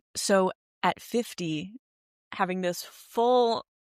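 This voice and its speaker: A woman of medium pitch and ordinary pitch variation comes through in a very clean recording, with a silent background and a dry, close sound with no echo. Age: 20s. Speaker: podcast host. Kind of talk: interview conversation.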